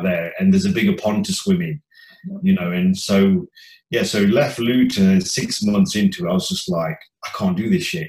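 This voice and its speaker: A somewhat breathy man with an East Midlands accent, fairly quick pace and very wide pitch swings. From English Midlands, Leicester. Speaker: chef and former DJ. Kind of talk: casual chat.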